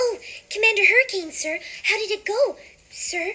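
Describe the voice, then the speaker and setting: A woman speaks in a put-on character voice, squeaky and extremely high-pitched, with a timid tone. Her intonation is lively and her pace moderate. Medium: stage play. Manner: soft, timid, earnest.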